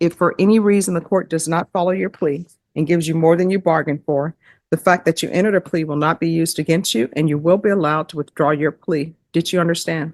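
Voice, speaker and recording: A woman with a Louisiana accent talks very fast at a fairly low pitch with fairly even intonation. The sound is dry and close with no echo, over a quiet background. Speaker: judge. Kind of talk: courtroom plea hearing. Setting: courtroom. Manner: formal.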